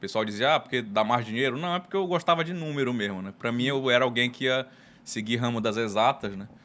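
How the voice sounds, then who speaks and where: Speaking very fast with a northern Brazilian accent, a man uses lively intonation at medium pitch. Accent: northern Brazilian Portuguese (Pará). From Pará, Brazil (Belém). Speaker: tax lawyer and consultant. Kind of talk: casual interview.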